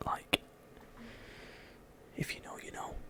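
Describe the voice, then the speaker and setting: Someone whispers in a relaxed tone. Noticeable background noise is present. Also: man. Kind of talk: casual talk to camera. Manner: relaxed, conversational.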